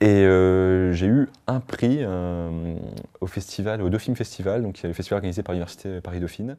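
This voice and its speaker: Against a quiet background, a man speaks at a fairly quick pace in a dark, mellow tone. His pitch is very deep and low, with ordinary variation. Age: 20s. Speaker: short film director. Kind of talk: interview. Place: home room.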